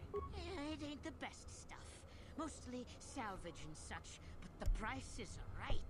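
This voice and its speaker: Over loud background noise, a man does a put-on character voice. His delivery is fairly slow, with big swings in loudness. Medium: video game. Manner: folksy, wheedling, ungrammatical.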